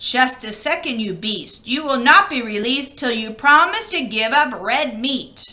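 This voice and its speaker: Using a put-on character voice, a woman speaks in a high pitch at a moderate pace with hardly any pauses. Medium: read story. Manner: sly.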